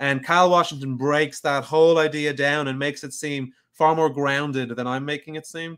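A man with a Dublin accent, fairly high pitch and moderate pace, with big swings in loudness. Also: fairly even intonation, hardly any pauses. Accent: Dublin Irish. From Dublin, Ireland. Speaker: podcast host interviewing a fellow podcaster. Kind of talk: casual chat. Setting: live online stream.

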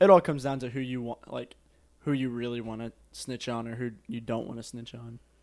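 An ordinary speaking voice moves at a fairly quick pace with fairly even intonation and big swings in loudness. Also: man, medium pitch for a man. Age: young. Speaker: podcast co-host. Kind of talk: casual chat.

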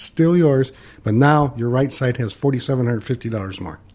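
A man with an American accent speaks at a fairly quick pace in a dark, mellow tone at medium pitch. His voice is somewhat breathy, with ordinary pitch variation. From Michigan, US Midwest. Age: 60s. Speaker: financial advisor. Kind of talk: casual chat.

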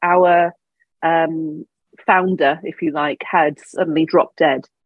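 With a southern English accent, a woman talks at a moderate pace in a very deep, low pitch and fairly even intonation. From England, Devon. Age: 40s. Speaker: business coach. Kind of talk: interview.

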